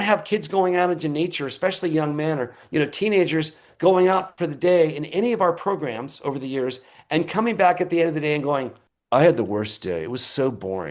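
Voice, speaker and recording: The speaker is male. His intonation rises and falls in a lively way. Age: 60s. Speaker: conservation nonprofit director. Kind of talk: interview.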